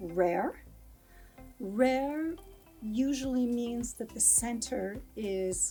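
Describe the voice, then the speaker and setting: With music in the background, a woman with a fairly high pitch speaks at a very slow pace and lively intonation. Her long pauses come often. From United States. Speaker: English teacher. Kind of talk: English lesson to camera.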